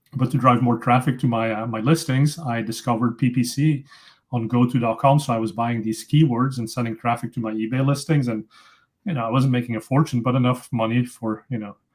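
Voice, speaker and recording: In a very clean recording with a silent background, a somewhat breathy man with a Dutch accent speaks at a fairly quick pace, medium pitch and fairly even intonation. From Belgium (Flemish). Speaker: tech company founder, PPC expert. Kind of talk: casual interview.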